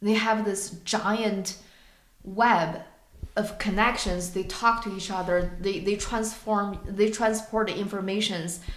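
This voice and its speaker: A woman with a non-native accent speaks very slowly in a monotone, flat way at a medium pitch, with noticeable background noise and audible room echo. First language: not English. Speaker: podcast co-host. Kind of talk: casual discussion. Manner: halting, searching for words.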